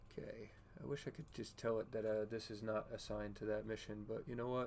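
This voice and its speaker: A man talks at a fairly quick pace. His voice is soft-spoken. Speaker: gaming streamer. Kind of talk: casual live stream chat with gameplay. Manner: quiet, soft-spoken.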